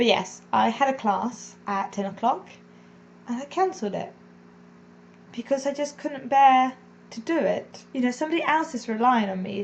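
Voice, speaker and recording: At a moderate pace, a woman speaks in a high voice with lively intonation and long, frequent pauses. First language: not English. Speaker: vlogger and English as a second language teacher. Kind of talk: personal confessional vlog. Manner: casual, meandering.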